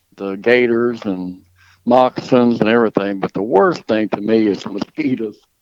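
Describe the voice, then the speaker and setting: Here a man with a Mississippi accent talks at a medium pitch. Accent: Southern US (Mississippi). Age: 60s. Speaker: dog trainer and hunter. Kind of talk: podcast interview. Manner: casual, hesitant with repeated words.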